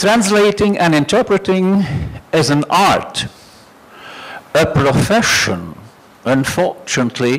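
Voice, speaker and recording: This man's voice sits high and his intonation is lively. He talks very slowly with long, frequent pauses over noticeable background noise. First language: Dutch and French. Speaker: conference speaker. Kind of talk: conference presentation.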